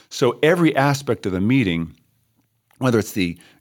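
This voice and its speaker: A man's medium-pitched voice with very wide pitch swings, in a very clean recording with a silent background. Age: 60s. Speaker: church music leader and pastor. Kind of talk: casual podcast discussion. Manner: warm, hesitant with fillers.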